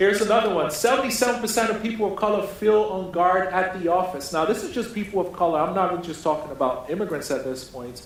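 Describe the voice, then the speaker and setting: A man's high-pitched voice at a very fast pace, with noticeable background noise. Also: lively intonation. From Nigeria. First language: a Nigerian language. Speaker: keynote speaker. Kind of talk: keynote speech. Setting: conference stage with audience.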